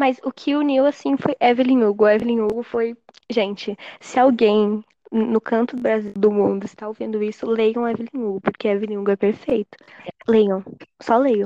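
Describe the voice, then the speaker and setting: At a moderate pace, a woman speaks with fairly high pitch and fairly even intonation, the sound dry and close with no echo. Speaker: podcast guest. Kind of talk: casual chat.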